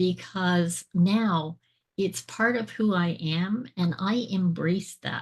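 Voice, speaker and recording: A woman speaks very slowly in a medium pitch with ordinary pitch variation. Her voice is somewhat breathy over a quiet background. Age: 60s. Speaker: transformational speaker and author. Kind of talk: interview testimony. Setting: podcast interview.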